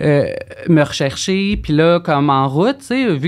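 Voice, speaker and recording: Against a quiet background, a woman talks in a very deep, low voice. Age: 30s. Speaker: former escort, abuse survivor; guest. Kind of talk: testimony. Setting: studio. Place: studio. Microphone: studio mic.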